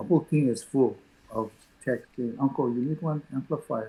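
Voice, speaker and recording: A man with a somewhat breathy voice keeps a moderate pace, and his pitch varies in an ordinary way. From Hawaii. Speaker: musician. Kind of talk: interview answer.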